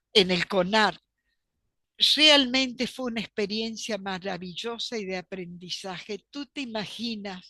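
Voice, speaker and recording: In a Polish accent, a woman with a medium-pitched, bright, sharp tone speaks at a very slow pace with ordinary pitch variation against a quiet background. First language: Polish (speaking Spanish). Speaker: archivist and professor. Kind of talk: interview.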